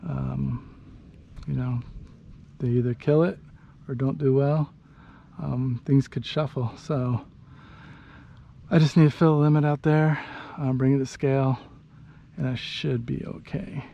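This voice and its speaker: In a relaxed, dark and mellow tone, a man speaks fairly slowly at a medium pitch with ordinary pitch variation and long, frequent pauses. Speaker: fishing vlogger. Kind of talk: casual video narration. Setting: outdoors.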